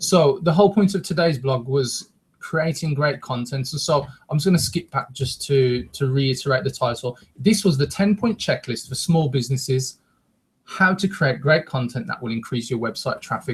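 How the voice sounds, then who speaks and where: The man's voice is somewhat breathy and fairly high. He talks at a moderate pace, with ordinary pitch variation. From West Midlands, England (Wolverhampton). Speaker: internet marketing show co-host. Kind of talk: live webcast presentation. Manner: energetic.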